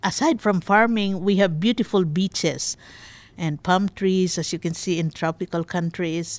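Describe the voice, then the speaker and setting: A woman speaks in a Filipino accent at a moderate pace and medium pitch. Her pitch variation is ordinary, and the sound is dry and close with no echo. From Philippines. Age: 60s. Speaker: immigrant interviewee. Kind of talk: personal life story interview.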